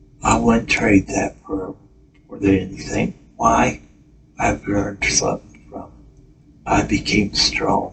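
A man speaks very slowly, leaving long pauses often, while noticeable background noise runs underneath. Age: 50s. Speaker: podcast host. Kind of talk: personal monologue. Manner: halting.

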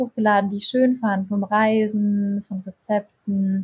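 A woman speaks in a somewhat breathy voice, with a dry, close sound and no echo. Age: 20s. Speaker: content creator and yoga teacher. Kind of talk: casual interview.

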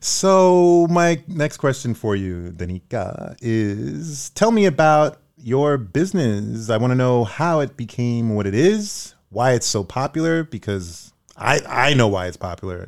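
Someone with a Brooklyn accent speaks at a fairly slow pace with very wide pitch swings, on a very clean recording with a silent background. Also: man, medium pitch for a man. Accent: New York (Brooklyn). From New York (Brooklyn). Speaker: podcast host, actor and singer. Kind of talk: casual chat. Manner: animated.

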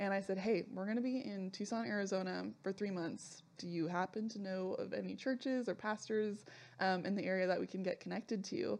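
With a Californian accent, this woman talks at a fairly quick pace, her medium pitch showing ordinary variation. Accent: Californian American. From Southern California. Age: 20s. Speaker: church member, theology graduate. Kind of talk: casual chat.

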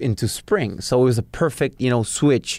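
With a Spanish accent, a man talks very fast at a medium pitch in a very clean recording with a silent background. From Peru, Lima. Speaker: chef and restaurateur. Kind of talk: interview.

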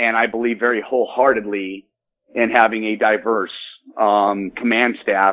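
In a plain, everyday voice, a man talks with an American accent at a fairly low pitch. He keeps a moderate pace and fairly even intonation. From Michigan, US Midwest. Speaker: sheriff candidate, former police officer and Marine. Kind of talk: interview.

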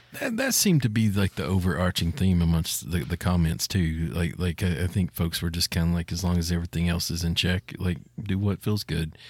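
A man with a very deep, low pitch and ordinary pitch variation, fairly quick, very even in loudness, on a very clean recording with a silent background. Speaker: gaming podcast co-host. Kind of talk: casual chat.

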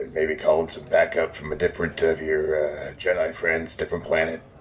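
Over clear background noise, a man puts on a raspy character voice and talks at a moderate pace. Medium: actual play.

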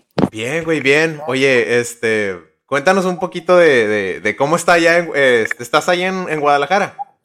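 Lively in intonation and fairly high in pitch, a man with an unremarkable speaking voice talks at a moderate pace. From Nuevo Laredo / Laredo border. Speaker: podcast co-host. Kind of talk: casual chat.

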